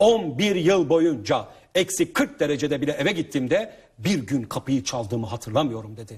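At a moderate pace, a man speaks with lively intonation in a somewhat breathy voice. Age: 30s. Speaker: author and family seminar speaker. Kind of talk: interview talk. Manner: animated.

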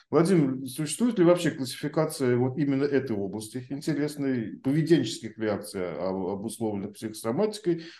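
At a fairly quick pace with hardly any pauses, a man speaks in a dark, mellow tone at medium pitch, with audible room echo and a quiet background. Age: 50s. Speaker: podcast host; host of the discussion. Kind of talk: panel discussion. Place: home room. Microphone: video call.

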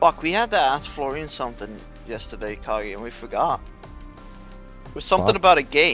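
Over music in the background, a man talks at a fairly quick pace, with big swings in loudness and long, frequent pauses. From Netherlands.

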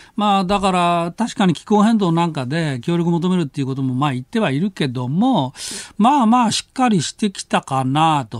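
Against a quiet background, a man speaks high in pitch with very wide pitch swings, in a dry sound with no echo. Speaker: news commentator. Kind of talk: casual political commentary. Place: studio.

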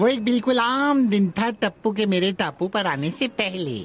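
A cartoonish character voice, female-sounding, at a medium pitch for a woman. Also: moderate pace. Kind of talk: cartoon storytelling. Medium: fan dub. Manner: sly, mocking.

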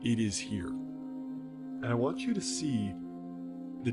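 Music plays in the background. Over it, a man talks with lively intonation. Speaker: meditation guide. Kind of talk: guided meditation.

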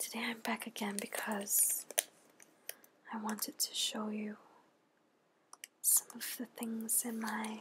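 The voice is soft-spoken and gentle in tone, at a fairly slow pace with long, frequent pauses. Noticeable background noise is present. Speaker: ASMR creator. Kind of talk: ASMR soft-spoken show-and-tell. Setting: studio, close mic. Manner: slow, gentle, with pauses. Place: home room.

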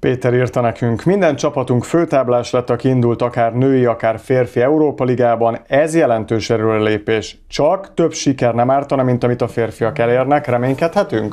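A man's dark, mellow, medium-pitched voice at a moderate pace, with very even loudness and hardly any pauses, over a quiet background. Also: ordinary pitch variation. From Hungary. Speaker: handball show host. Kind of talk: casual chat. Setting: studio. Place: studio. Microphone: lapel.

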